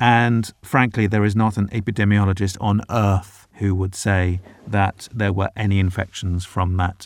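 Here a man talks at a moderate pace in a fairly low pitch. His intonation is fairly even. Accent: British. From Britain. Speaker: foreign correspondent. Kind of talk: casual interview. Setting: remote call from home.

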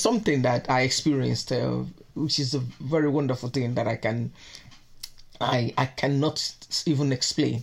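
With vocal fry and a very deep, low pitch, a woman speaks at a moderate pace with ordinary pitch variation and long, frequent pauses. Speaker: mother interviewed. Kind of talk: interview answers.

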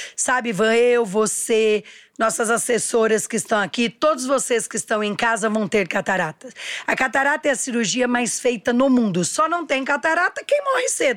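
Lively intonation and an animated tone carry this voice along at a moderate pace. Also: woman, fairly high pitch for a woman. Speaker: entrepreneur. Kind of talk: interview.

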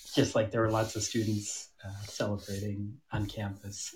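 Somewhat breathy and at a moderate pace, a man speaks with an American accent in a very clean recording with a silent background. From US Midwest, Michigan (Troy). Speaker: tango dancer and DJ. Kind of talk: casual chat.

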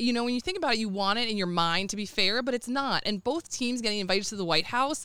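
A woman with an American accent speaks at a very fast pace in a bright, sharp tone, with hardly any pauses. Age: 30s. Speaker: youth softball coach and mom. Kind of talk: casual chat.

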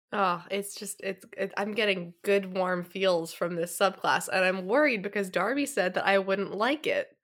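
In a plain, everyday voice, a woman talks at a medium pitch and moderate pace, with ordinary pitch variation and hardly any pauses. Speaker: podcast host. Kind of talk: casual chat.

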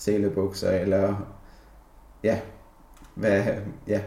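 A man speaks at a very slow pace in a monotone, flat delivery. Audible room echo surrounds his voice. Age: 20s. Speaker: office worker. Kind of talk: personal reflection interview. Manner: halting, many fillers.

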